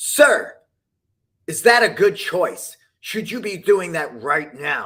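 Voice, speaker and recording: A man in a put-on character voice projects a raised, stern tone at a high pitch. He goes at a very slow pace with long, frequent pauses in a very clean recording with a silent background. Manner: stern, scolding.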